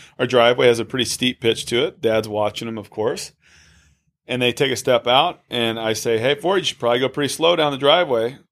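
Using an ordinary speaking voice, a man talks fairly quickly at a medium pitch with ordinary pitch variation. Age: 30s. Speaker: podcast co-host and father. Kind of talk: casual chat. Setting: studio.

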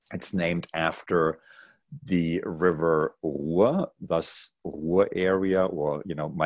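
A man's very deep, low voice in a German accent, with fairly even intonation over a quiet background. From East Germany (Jena, Thuringia). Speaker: executive director of a university alliance office. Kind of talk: casual interview.

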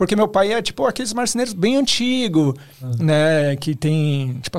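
Lively in intonation, a man with an ordinary speaking voice and fairly high pitch is captured in a very clean recording with a silent background. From Osasco, São Paulo, Brazil. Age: 30s. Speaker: photographer and video director. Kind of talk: casual podcast interview.

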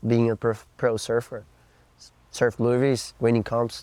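A man in a Portuguese accent, medium-pitched with a dark, mellow tone and monotone, flat intonation, on a very clean recording with a silent background. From Brazil, Florianópolis. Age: 20s. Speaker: pro surfer. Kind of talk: interview.

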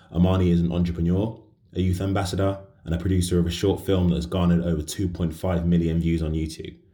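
A man with very deep, low pitch and a dark, mellow tone, racing at a very fast pace in a monotone, flat intonation. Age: 20s. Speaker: podcast host. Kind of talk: casual interview chat; scripted intro and outro.

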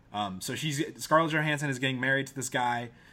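A very clean recording with a silent background carries a bright, sharp tone. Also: man. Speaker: movie podcast host. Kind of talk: casual comedic banter, movie review. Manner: joking, teasing.

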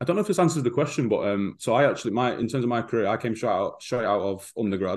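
Against a quiet background, a man with an English Midlands accent speaks at a very fast pace in a medium pitch, with hardly any pauses. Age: 30s. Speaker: football strength and conditioning coach. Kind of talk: casual interview.

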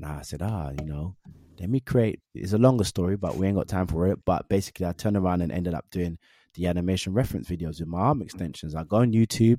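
A man with a London accent talks at a very fast pace in a very deep, low pitch, with ordinary pitch variation and a dark, mellow tone. The sound is dry and close with no echo, a very clean recording with a silent background. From Northwest London. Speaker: actor and motion capture performer. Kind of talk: casual interview chat.

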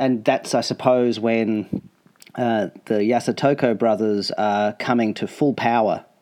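A man's medium-pitched, dark and mellow voice in an Australian accent, fairly slow, over a quiet background. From Australia (Melbourne). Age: 40s. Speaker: podcast host, rollerblader. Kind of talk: casual interview.

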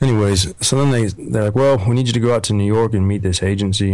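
A man rattles off words very fast in a fairly low voice. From Oregon, US. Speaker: model and country singer. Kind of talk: casual chat.

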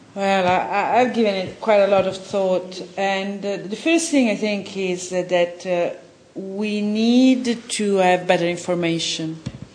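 With an Italian accent, a woman speaks at a medium pitch and a fairly slow pace with ordinary pitch variation, in a room with audible echo and noticeable background noise. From Italy. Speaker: film director and journalist. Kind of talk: interview.

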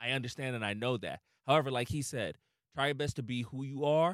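A man speaks fairly quickly in a plain, everyday voice with a fairly high pitch. The recording is very clean and dry, close with no echo, over a silent background. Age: 30s. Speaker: podcast host, comedian. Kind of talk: casual chat.

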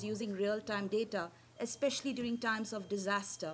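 This woman's voice is somewhat breathy. It sits at a fairly high pitch. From India. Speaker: social platform founder. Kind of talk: conference talk. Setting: stage with audience. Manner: fast.

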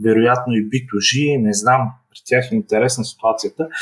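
A man talks in an unremarkable speaking voice at medium pitch. His pace is moderate and his pitch variation ordinary. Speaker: startup founder. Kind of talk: online interview.

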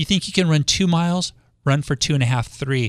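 In an ordinary speaking voice, a man with an American accent talks at a moderate pace and fairly high pitch, the sound dry and close with no echo on a very clean recording with a silent background. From Los Angeles, US West Coast. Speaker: radio host and realtor. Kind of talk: radio talk show interview. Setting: radio studio.

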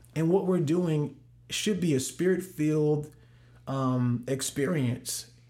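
Speaking very slowly with an American accent, a man uses a fairly high-pitched voice with a dark, mellow tone. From US Midwest, St. Louis. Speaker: worship pastor. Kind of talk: casual interview.

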